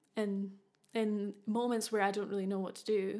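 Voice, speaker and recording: A woman speaks with a Scottish accent at a fairly high pitch, recorded very cleanly against a silent background. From Scotland. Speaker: podcast host. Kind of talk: casual monologue.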